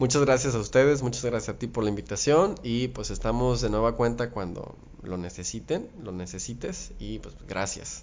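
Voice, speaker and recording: A man with vocal fry talks at a moderate pace and medium pitch, with ordinary pitch variation, hardly any pauses, big swings in loudness and audible room echo. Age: 30s. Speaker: biologist and teacher. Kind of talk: interview. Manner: hesitant, with fillers.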